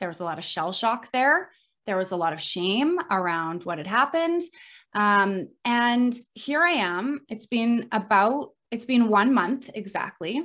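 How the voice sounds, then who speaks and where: At a fairly slow pace, a woman speaks with a fairly high pitch and very wide pitch swings. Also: quiet background. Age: 30s. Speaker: health coach. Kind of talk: interview.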